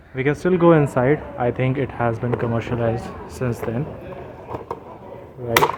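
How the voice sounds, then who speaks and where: Amid noticeable background noise, a man speaks with fairly even intonation and long, frequent pauses. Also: medium pitch for a man, moderate pace. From India. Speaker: travel vlogger. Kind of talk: travel vlog narration. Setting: walking tour of historic site. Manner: lowered voice, quiet.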